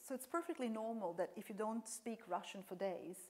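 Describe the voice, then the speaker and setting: With a slight non-native accent, a woman speaks at a fairly high pitch with ordinary pitch variation. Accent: slight foreign accent in English. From Serbia. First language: Serbian. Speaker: professor. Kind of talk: lecture Q&A.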